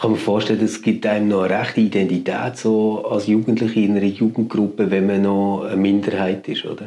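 With noticeable background noise, a man talks at a fairly quick pace with hardly any pauses. His fairly low voice is monotone and flat. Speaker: podcast host. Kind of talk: interview.

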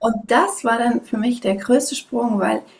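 A woman's moderately paced speech comes through with noticeable noise behind it. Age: 30s. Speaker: parenting and sleep coach. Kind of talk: interview. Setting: video call.

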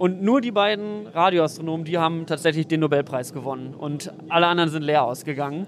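A man's high voice moves at a fairly quick clip with ordinary pitch variation while music plays behind him. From western Germany, NRW near Düsseldorf (Mettmann). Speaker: science journalist and content creator. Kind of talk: casual explanatory interview. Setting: outdoors at an S-Bahn station and on a train.

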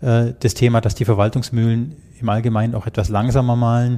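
In a very clean recording with a silent background, a man speaks at a moderate pace in a medium pitch, his dark, mellow tone delivered in a monotone, flat intonation. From Germany. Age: 50s. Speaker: IT security manager. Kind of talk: interview.

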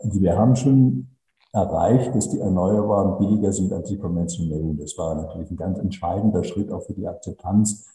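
At a moderate pace, a man with a fairly low pitch speaks in a dark, mellow tone that is somewhat breathy, with ordinary pitch variation. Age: 70s. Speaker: renewable energy company director. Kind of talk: interview. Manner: concise.

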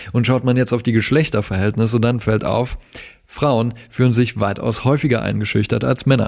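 A man with a medium-pitched voice speaks at a moderate pace, his loudness very even. His intonation is fairly even, with vocal fry. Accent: slight Saxon. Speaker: podcast producer. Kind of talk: scripted segment presentation.

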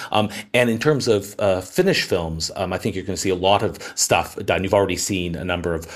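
With a Canadian accent, a man talks at a fairly quick pace in a very deep, low voice. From Canada. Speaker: entertainment journalist. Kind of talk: interview. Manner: halting, many fillers.

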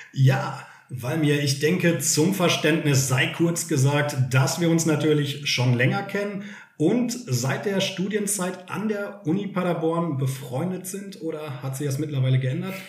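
Against noticeable background noise and audible room echo, a man speaks at a fairly slow pace. His pitch is fairly high, with ordinary pitch variation. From Germany, Sauerland (Westphalia). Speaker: podcast host and teacher. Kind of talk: casual chat.

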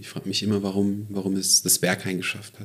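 A man's fairly low voice at a very fast pace. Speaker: comedian. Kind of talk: casual chat.

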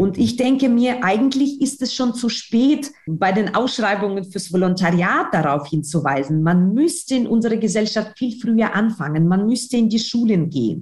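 A somewhat breathy woman speaks at a moderate pace with hardly any pauses, very even loudness and very wide pitch swings. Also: fairly high pitch for a woman. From Ukraine. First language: Ukrainian or Russian (speaking German). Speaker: newspaper editor. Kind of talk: interview.

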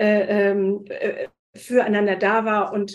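A woman speaks at a fairly high pitch. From Hesse, Wiesbaden. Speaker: spice shop owner and entrepreneur. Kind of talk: interview. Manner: hesitant, many fillers.

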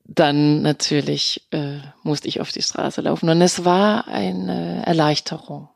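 Very slowly, a woman speaks on a very clean recording with a silent background and a dry, close sound with no echo. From Denmark. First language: Danish (speaking German). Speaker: actress and voice artist. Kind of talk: interview. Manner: hesitant with fillers.

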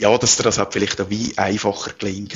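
There is vocal fry in this man's fairly low-pitched voice. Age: 40s. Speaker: entrepreneur. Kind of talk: interview.

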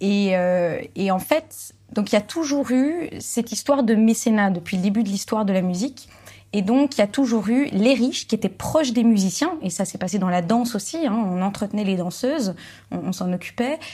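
A woman speaks with a fairly high pitch and lively intonation at a moderate pace. Her tone is dark and mellow, and somewhat breathy. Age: 20s. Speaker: actress and musicologist, classical music video creator. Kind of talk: casual chat.

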